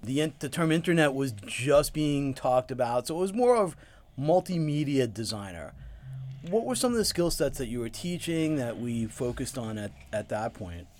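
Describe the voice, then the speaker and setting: In an American accent, the speaker uses lively intonation at a moderate pace, with an unremarkable speaking voice. The recording is very clean, with a silent background. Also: man, fairly high pitch for a man. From New York, Long Island. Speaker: podcast host and UX researcher. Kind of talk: interview; scripted intro and outro.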